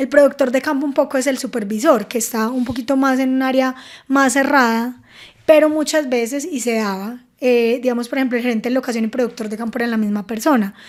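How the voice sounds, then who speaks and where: Very fast and high-pitched, a woman speaks. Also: fairly even intonation. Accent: Paisa. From Antioquia, Colombia. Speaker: film producer and animation director. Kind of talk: podcast interview answer. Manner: cheerful, smiling.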